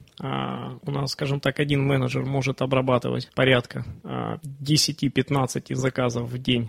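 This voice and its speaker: Against noticeable background noise, a man talks fairly slowly at a medium pitch with fairly even intonation. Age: 30s. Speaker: online bookstore owner, entrepreneur. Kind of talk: interview. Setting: studio. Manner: halting, many fillers.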